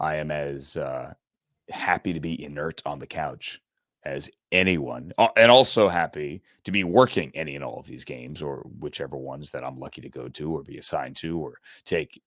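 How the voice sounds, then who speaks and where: The voice has vocal fry, big swings in loudness and ordinary pitch variation, with a dry, close sound with no echo. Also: man, very clean recording, silent background. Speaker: sportscaster and podcast host. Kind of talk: casual sports podcast chat. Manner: animated.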